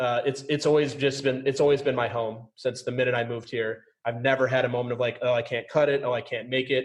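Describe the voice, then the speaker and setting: A man's somewhat breathy voice, very fast, with monotone, flat intonation. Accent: American. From US Midwest, suburbs of St. Paul, Minnesota. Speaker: podcast host. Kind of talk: casual interview chat. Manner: high energy.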